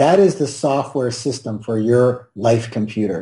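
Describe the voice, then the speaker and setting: Against a quiet background, a man speaks at a very slow pace in a medium-pitched, somewhat breathy voice. His tone is dark and mellow, with ordinary pitch variation. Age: 60s. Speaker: wealth trainer. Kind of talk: interview.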